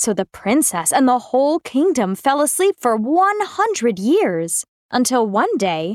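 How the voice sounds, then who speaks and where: A woman's high-pitched, animated, dramatic voice with very wide pitch swings, very even loudness and a fairly slow pace, in a dry, close sound with no echo. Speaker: story narrator. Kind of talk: fairy-tale narration. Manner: storybook narrator, expressive and animated, dramatic sound effects.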